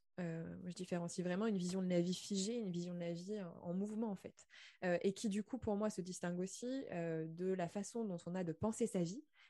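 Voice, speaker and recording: At a moderate pace, a woman speaks at medium pitch with a dark, mellow tone and fairly even intonation. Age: 20s. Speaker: podcast host. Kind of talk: interview conversation. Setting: video call.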